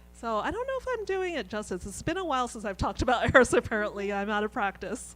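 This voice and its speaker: With music in the background, a woman's fairly high voice shows very wide pitch swings and big swings in loudness. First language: Mandarin. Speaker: author. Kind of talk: book talk Q&A. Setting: event with audience. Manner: halting, many fillers.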